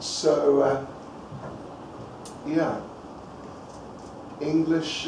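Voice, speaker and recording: A man speaks at a very slow pace in a room with audible echo and noticeable background noise. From New Zealand. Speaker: visiting lecturer. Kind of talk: lecture. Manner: casual, halting.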